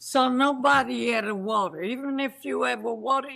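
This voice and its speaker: With an Italian accent, a woman speaks at a fairly slow pace. Her pitch is fairly high. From Italy. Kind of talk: interview answer.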